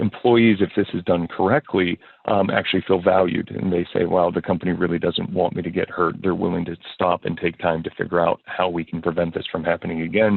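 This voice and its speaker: A man speaks at a fairly quick pace in a very deep, low pitch. His intonation stays fairly even. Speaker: insurance consultant. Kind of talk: webinar presentation. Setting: online webinar. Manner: fast.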